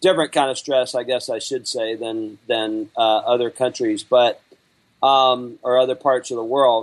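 In a Southern US accent, a man talks at a medium pitch. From Alabama. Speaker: business trainer and author. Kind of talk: interview conversation.

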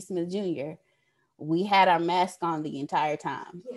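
This woman has a plain, everyday voice, speaking at a medium pitch and moderate pace with ordinary pitch variation. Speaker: staff member. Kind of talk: team meeting. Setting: video call.

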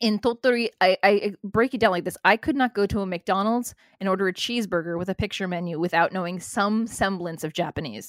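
With a normal speaking voice, a woman talks fairly quickly with hardly any pauses, at a medium pitch with ordinary pitch variation, in a very clean recording with a silent background. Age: 40s. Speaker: wrestling podcaster and former flight attendant. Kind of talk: casual chat.

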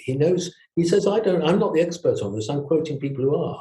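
A man with a southern English accent speaks at a fairly high pitch. His tone is dark and mellow, with ordinary pitch variation. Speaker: retired family doctor. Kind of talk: interview. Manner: halting.

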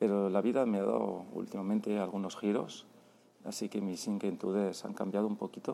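A fairly quick man's voice, dark and mellow, with fairly even intonation. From Spain, Barcelona. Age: 40s. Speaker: travel podcaster. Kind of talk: voice note diary. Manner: halting, many repetitions.

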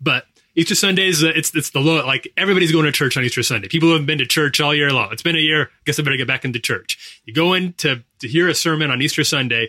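A man talks very fast at a fairly high pitch. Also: ordinary pitch variation. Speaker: podcast co-host. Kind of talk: casual chat.

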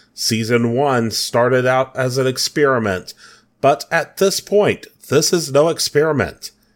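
On a very clean recording with a silent background, a man with an ordinary speaking voice talks fairly slowly and with ordinary pitch variation. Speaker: podcast host. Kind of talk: solo podcast monologue.

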